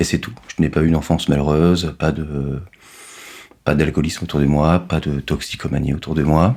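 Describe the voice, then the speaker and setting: A man with a very deep, low voice talks at a fairly quick pace, broken by long, frequent pauses, his intonation fairly even over noticeable background noise. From Normandy, France. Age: 30s. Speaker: finance worker, recovering addict. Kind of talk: testimony interview. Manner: hesitant, many fillers.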